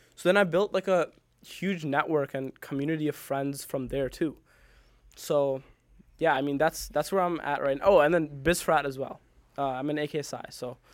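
A man with an American accent speaks at a fairly high pitch and moderate pace, with fairly even intonation and long, frequent pauses, on a very clean recording with a silent background. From US Midwest, Naperville, Illinois. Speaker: college student and app founder. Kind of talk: casual interview.

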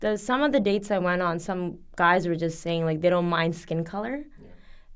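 A woman's fairly low-pitched voice, ordinary in pitch variation, at a fairly quick pace. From Canada. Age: 20s. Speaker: English teacher. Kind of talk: casual chat.

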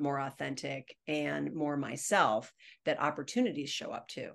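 Vocal fry runs through speech at a moderate pace over a quiet background. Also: woman. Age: 50s. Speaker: communications expert and educator. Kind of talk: interview.

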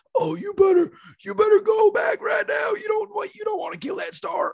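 A man puts on a character voice with extremely high pitch. He delivers it at a fairly slow pace. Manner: bossy, scolding.

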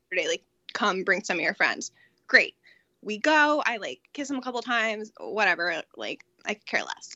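A woman with an American accent and a normal speaking voice, fairly high in pitch, at a moderate pace, with lively intonation and big swings in loudness. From Connecticut. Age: 20s. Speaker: project manager. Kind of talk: casual chat.

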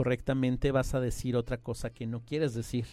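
Fairly even intonation runs through a man's dark, mellow voice. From Mexico City. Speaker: translator and interpreter. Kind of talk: interview.

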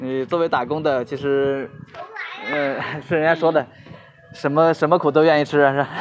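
Over noticeable background noise, a man talks at a fairly quick pace with long, frequent pauses. His fairly high voice is monotone and flat. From China, Hubei. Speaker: courier. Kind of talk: interview. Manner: halting, many fillers.

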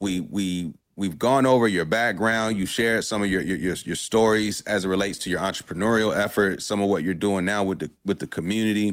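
On a very clean recording with a silent background, a man with an American accent and an unremarkable speaking voice talks fairly quickly at a fairly low pitch with ordinary pitch variation. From Durham, North Carolina. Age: 30s. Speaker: podcast host. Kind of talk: interview. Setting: live stream.

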